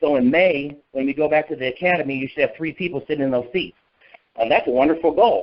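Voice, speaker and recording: This man talks very fast in an American accent, his pitch fairly high. His pitch varies an ordinary amount. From northern US. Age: 40s. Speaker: insurance agency manager. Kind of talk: training talk on a conference call. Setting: phone call.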